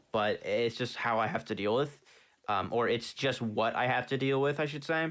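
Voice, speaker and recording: A man with ordinary pitch variation. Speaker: gaming youtuber. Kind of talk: gameplay commentary. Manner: fast; halting, stumbling.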